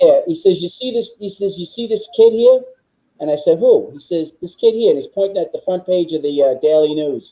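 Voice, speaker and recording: A man with a New York accent speaks fairly quickly in a high pitch, his tone dark and mellow and his intonation lively. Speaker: political guest. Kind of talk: casual chat. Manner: forceful; halting.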